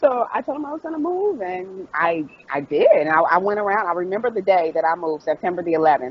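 Over noticeable background noise, a woman speaks with an American accent. Her medium pitch moves in very wide swings. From US Midwest, Dayton, Ohio. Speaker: author. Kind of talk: interview.

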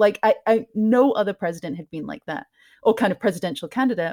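Lively intonation marks this fairly quick speech. There is a somewhat breathy quality. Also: woman. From Scotland. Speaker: podcaster. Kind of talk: casual interview chat. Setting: home, cat interrupts.

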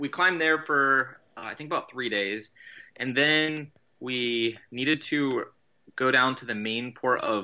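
Speaking at a fairly slow pace, a plain, everyday voice shows ordinary pitch variation. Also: man. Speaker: guest sailor telling trip story. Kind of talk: casual storytelling.

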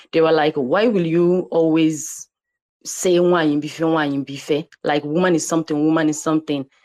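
A woman with a Nigerian accent speaks at a moderate pace in a very deep, low pitch and a dark, mellow tone. Her intonation is fairly even and her loudness very even, with a dry, close sound and no echo. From Nigeria (Igbo). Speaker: digital artist. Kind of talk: guest interview in online audio room. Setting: online audio room.

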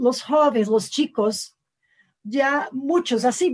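A woman with a Portuguese accent, high in pitch, with ordinary pitch variation. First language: Portuguese (speaking Spanish). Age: 40s. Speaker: university lecturer and political campaign author. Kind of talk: interview.

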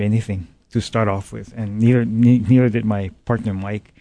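With a Hawaiian accent, a man talks at a moderate pace in a fairly low, dark and mellow voice, his intonation flat and monotone. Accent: Hawaii local English. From Hawaii, Big Island plantation community. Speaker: business owner. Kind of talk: interview. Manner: halting.

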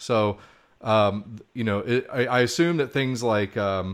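This man has a plain, everyday voice with a fairly low pitch. His intonation stays fairly even. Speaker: podcast co-host. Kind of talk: casual interview chat. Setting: remote call. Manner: jokey.

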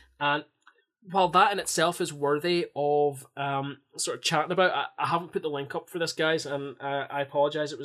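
A man with an ordinary speaking voice talks at a fairly quick pace with fairly even intonation. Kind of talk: casual podcast banter, a fan's play-by-play retelling of a highlight goal. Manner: punchy, mimicking the scorer's cocky attitude.

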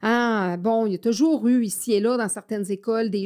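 Recorded very cleanly against a silent background, a woman with a fairly high pitch and a dark, mellow tone speaks at a fairly slow pace with fairly even intonation. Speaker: podcast host and education specialist. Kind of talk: solo podcast monologue. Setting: studio. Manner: halting with frequent fillers and repetitions.

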